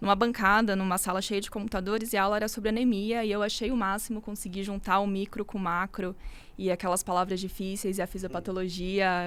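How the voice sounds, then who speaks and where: With a plain, everyday voice, a woman talks at a fairly quick pace, her medium pitch showing ordinary variation. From São Paulo, Brazil. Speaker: medical resident, hematology. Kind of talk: casual chat.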